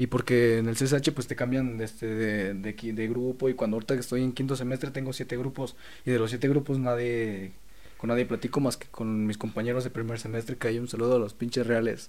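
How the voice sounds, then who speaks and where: The man talks at a fairly quick pace in a medium pitch with monotone, flat intonation. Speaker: photographer and video maker. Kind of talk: casual chat.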